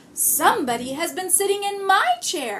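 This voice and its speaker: A woman puts on a raspy character voice at an extremely high pitch. Her intonation is lively and her pace moderate. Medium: read story.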